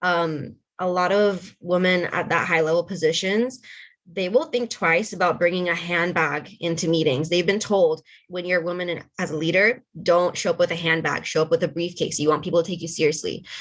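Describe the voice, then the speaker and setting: A normal speaking voice from a woman, fairly low in pitch, with fairly even intonation at a fairly quick pace. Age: young. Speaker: panelist on women in tech. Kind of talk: panel discussion.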